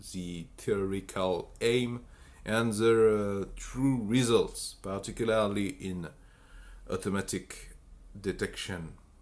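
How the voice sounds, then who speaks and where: A man with a strong French accent at a very slow pace. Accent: French accent, self-described as strong. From France. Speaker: bioinformatics researcher. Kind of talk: technical explainer talk. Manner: halting, many fillers and restarts.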